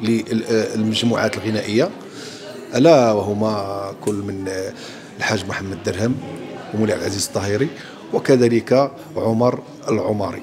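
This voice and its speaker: Noticeable background noise is present. A man speaks at a moderate pace with fairly even intonation. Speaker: theatre actor. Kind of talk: interview answer.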